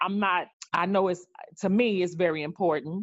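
With a plain, everyday voice and an American accent, a woman speaks at a moderate pace with ordinary pitch variation. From New York. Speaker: discussion panelist. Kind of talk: group discussion.

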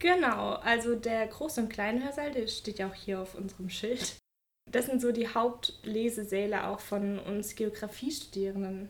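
This woman has a normal speaking voice, pitched fairly high, and talks at a fairly slow pace with ordinary pitch variation. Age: 20s. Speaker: doctoral researcher in geography. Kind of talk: interview and campus walking tour. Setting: office and walking outdoors on campus.

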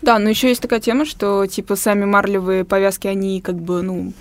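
A woman talks in a normal speaking voice of medium pitch, at a moderate pace and with fairly even intonation. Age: 20s. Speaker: young discussion panelist. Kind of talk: casual discussion. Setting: studio.

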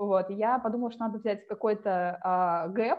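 Moderate in pace, a woman speaks with ordinary pitch variation. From Siberia, Russia (Tomsk). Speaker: UX writer, former journalist. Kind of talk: interview conversation.

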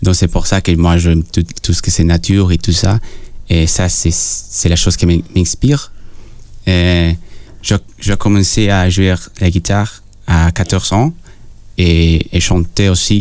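A man with a very deep, low pitch speaks at a very slow pace, taking long, frequent pauses. His pitch varies in an ordinary way and his loudness stays very even. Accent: Spanish. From Peru. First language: Spanish (speaking French). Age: young. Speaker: singer-songwriter. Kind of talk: radio interview. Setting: radio studio. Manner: halting.

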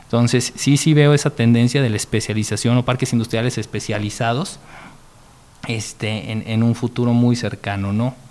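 A man at medium pitch in an unremarkable speaking voice, moderate pace, fairly even intonation. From Mexico, San Luis Potosí. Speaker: industrial park executive. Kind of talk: interview.

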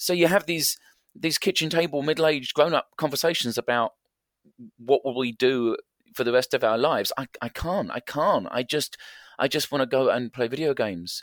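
A man with an English accent speaks at a moderate pace in a fairly high pitch, with ordinary pitch variation, in a dry, close sound with no echo on a very clean recording with a silent background. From England. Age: 50s. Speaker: variety performer. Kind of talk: interview conversation.

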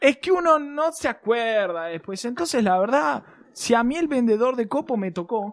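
A man speaks at a moderate pace in a Rioplatense accent. His pitch is extremely high and swings very widely. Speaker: podcast host. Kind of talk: casual chat.

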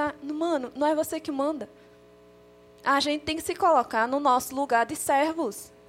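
A woman at a fairly slow pace with ordinary pitch variation, music in the background. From Paraíba, northeast Brazil. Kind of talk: casual chat.

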